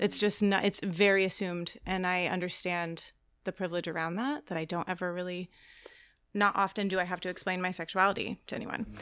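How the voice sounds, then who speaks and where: A woman talks at a fairly quick pace in an unremarkable speaking voice. Her pitch is medium, and the recording is very clean with a silent background. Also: fairly even intonation. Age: 30s. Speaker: church soul care director and mental health counselor. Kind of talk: casual chat. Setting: studio.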